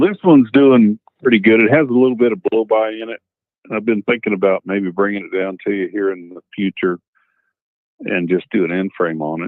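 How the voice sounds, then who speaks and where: A man with a fairly low pitch speaks at a fairly quick pace with ordinary pitch variation. He has a plain, everyday voice. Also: big swings in loudness. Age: 60s. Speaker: truck driver caller. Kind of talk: call-in question.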